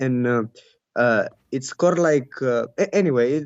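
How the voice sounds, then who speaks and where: Speech in a Bulgarian accent at a moderate pace, with ordinary pitch variation. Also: man. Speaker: caller. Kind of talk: call-in discussion. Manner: halting.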